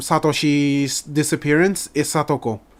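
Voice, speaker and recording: The speaker has an Indonesian accent on a very clean recording with a silent background. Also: man. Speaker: anime reaction youtuber. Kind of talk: reaction commentary. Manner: halting, stuttering.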